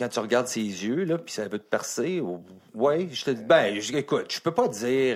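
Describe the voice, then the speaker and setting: Recorded very cleanly against a silent background, a man speaks in a Quebec accent. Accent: Québécois French. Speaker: former NHL hockey player. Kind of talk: casual chat.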